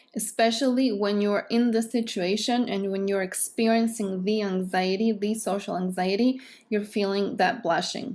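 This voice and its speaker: With a Greek accent, a woman speaks at a medium pitch and a moderate pace. Her intonation is fairly even and she hardly pauses. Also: very clean recording, silent background. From Greece. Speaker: psychotherapist. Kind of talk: educational talk to camera.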